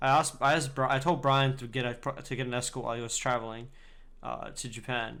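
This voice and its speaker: A man speaks very fast in a bright, sharp, flat monotone with an Australian accent. The room echo is audible. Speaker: podcast co-host. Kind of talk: casual chat.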